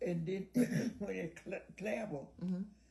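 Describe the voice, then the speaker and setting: A somewhat breathy, dark, mellow voice with an American accent. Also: woman. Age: 80s+. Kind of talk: interview answer.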